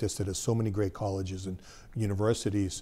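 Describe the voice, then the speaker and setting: A man with an American accent talks fairly quickly in a fairly low, dark, mellow voice that is somewhat breathy. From Massachusetts (Sharon). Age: 60s. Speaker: business founder. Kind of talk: interview.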